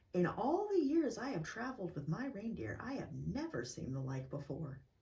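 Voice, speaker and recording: In a put-on character voice, a female-sounding speaker holds a middle pitch and keeps a moderate pace. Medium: read story.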